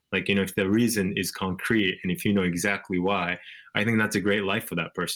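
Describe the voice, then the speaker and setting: A man with a Japanese accent talks at a fairly quick pace with fairly even intonation. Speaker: author. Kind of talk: interview. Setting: video call.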